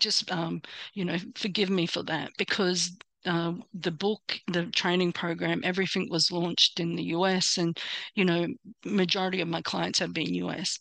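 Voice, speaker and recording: A woman with an American accent speaks at a moderate pace in a fairly low voice with vocal fry. Her intonation is monotone and flat, over a quiet background. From Australia. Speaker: personal branding coach. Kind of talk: online workshop presentation. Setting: hotel room, live online. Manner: hesitant, many fillers.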